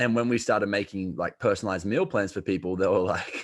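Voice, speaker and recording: With an Australian accent, the speaker talks at a fairly quick pace with fairly even intonation. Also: man. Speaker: health coach. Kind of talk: podcast interview. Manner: casual, many fillers.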